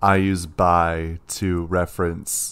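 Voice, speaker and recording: A man speaks in a very deep, low voice with flat, monotone intonation, recorded very cleanly against a silent background. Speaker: podcast co-host. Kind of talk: casual chat.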